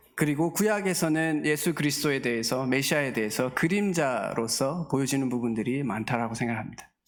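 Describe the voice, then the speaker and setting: A man talks at a moderate pace with a slight Daegu accent and a fairly high pitch. His pitch variation is ordinary. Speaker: guest pastor. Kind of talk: sermon. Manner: halting, many filler sounds.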